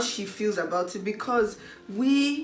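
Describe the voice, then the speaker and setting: With a Nigerian accent, a woman speaks amid audible room echo and noticeable background noise. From Nigeria, South South (Delta State). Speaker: YouTuber. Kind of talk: casual chat.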